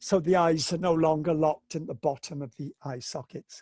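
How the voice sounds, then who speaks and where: This man's voice sits at a fairly high pitch and is somewhat breathy, with fairly even intonation. The sound is dry and close with no echo, over a quiet background. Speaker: lecturer on visual impairment education. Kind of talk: online webinar lecture. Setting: home, corner of bedroom, video webinar. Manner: halting.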